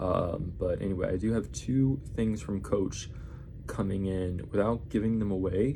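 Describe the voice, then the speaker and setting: A man speaks quietly and fairly slowly, his voice fairly low with a dark, mellow tone. Pitch varies in an ordinary way, and audible room echo is present. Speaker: vlogger. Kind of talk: casual haul video. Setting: apartment at night. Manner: quiet, subdued; rambling, halting.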